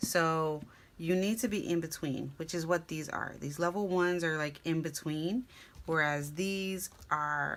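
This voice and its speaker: A quiet woman's voice, fairly low in pitch, fairly slow and fairly even in intonation, on a very clean recording with a silent background. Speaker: craft video creator. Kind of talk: tutorial.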